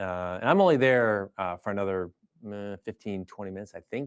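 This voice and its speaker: Here a man talks with an American accent at a fairly low pitch with ordinary pitch variation. The recording is very clean, with a silent background. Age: 50s. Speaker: air force general, fighter pilot. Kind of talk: interview conversation. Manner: halting with many fillers.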